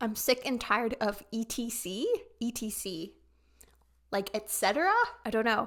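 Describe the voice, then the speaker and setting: A woman's fairly high voice at a moderate pace, with ordinary pitch variation and long, frequent pauses. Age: 30s. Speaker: K-pop reaction youtuber. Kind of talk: video reaction commentary.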